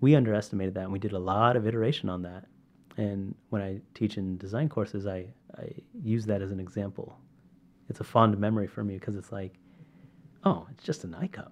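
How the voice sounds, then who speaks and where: A man speaks at a fairly quick pace in a fairly low voice, with ordinary pitch variation, big swings in loudness, and long, frequent pauses. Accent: Californian. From California, Sacramento. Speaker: medical device entrepreneur. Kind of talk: interview. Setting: in person at a university.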